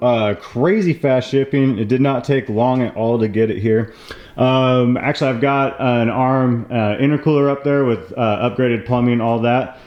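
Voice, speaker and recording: Noticeable background noise behind a man speaking. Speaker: car DIY youtuber. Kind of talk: tutorial. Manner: hesitant, many fillers.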